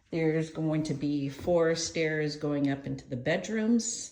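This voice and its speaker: The speech moves at a very slow pace, with audible room echo around it. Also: woman. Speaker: estate sale auctioneer. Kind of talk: video walkthrough narration. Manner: rambling, caffeinated energy.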